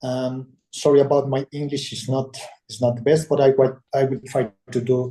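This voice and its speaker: A man with a fairly high pitch speaks at a moderate pace. His voice is somewhat breathy, with a dark, mellow tone. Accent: Spanish. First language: Spanish. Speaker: webinar attendee. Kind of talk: audience question. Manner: halting.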